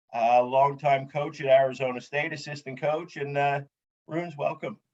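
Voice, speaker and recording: A man talks with fairly even intonation. He has an ordinary speaking voice. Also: fairly high pitch for a man, moderate pace. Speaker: podcast host. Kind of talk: casual podcast interview questions.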